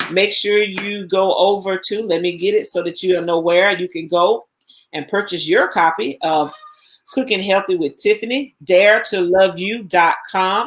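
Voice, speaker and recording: A woman's medium-pitched voice with a slight Southern US accent. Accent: slight Southern twang. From Alabama, US South. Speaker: cooking show host. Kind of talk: live stream chat.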